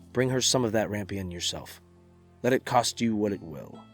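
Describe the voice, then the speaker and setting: A man speaks with music playing in the background. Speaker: voice actor. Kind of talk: bedtime story reading.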